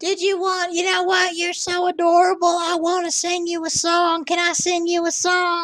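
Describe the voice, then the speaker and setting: A put-on character voice, husky and raspy, delivers monotone, flat intonation at a moderate pace with hardly any pauses. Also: woman, extremely high pitch for a woman. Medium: voice reel. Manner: folksy, doting, cranky.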